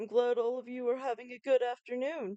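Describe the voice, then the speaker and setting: In a put-on character voice, a female-sounding speaker with a high pitch talks at a fairly quick pace. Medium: read story. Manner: warm, jovial.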